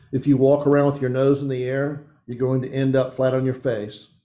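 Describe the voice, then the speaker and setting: A man speaks at a medium pitch in a dark, mellow tone. Room echo is audible. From East Tennessee. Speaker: pastor / men's ministry teacher. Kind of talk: sermon.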